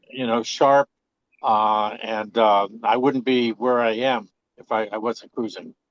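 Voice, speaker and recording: This man's voice sits at a medium pitch and moves at a fairly slow pace. His intonation is monotone and flat, and the sound is dry and close with no echo. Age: 70s. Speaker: live-aboard coastal cruiser, audience member. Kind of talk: casual comment. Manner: halting, many fillers.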